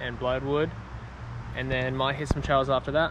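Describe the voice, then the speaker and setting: A man's voice with ordinary pitch variation, dry with no echo, over noticeable background noise. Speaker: mountain biker vlogger. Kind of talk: casual vlog chat. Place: forest.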